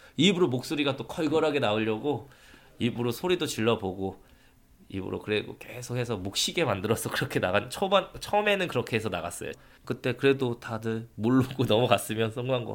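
A man with an unremarkable speaking voice talks at a fairly quick pace and medium pitch, with lively intonation. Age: 30s. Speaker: preschool sports teacher. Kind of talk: testimony; interview.

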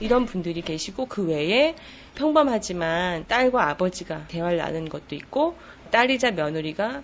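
Her pitch swinging very widely, a woman talks at a medium pitch. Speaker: book editor. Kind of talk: interview.

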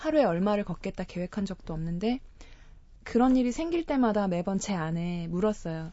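The pace is moderate. Pitch variation is ordinary. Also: woman. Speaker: travel guest, pilgrim. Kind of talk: radio interview.

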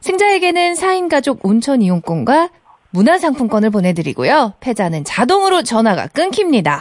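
At a moderate pace, a woman speaks in a high voice that swings very widely in pitch. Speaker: radio co-host. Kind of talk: live radio banter. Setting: studio.

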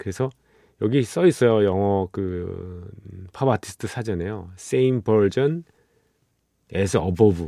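Relaxed and dark, mellow in tone, a man with fairly low pitch and ordinary pitch variation speaks at a fairly slow pace, dry and close with no echo, on a very clean recording with a silent background. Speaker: radio DJ and producer. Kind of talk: late-night radio music show. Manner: relaxed, conversational with many fillers.

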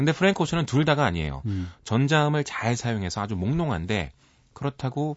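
Very wide pitch swings mark speech delivered at a fairly quick pace. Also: man. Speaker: music critic. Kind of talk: radio music commentary. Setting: radio studio.

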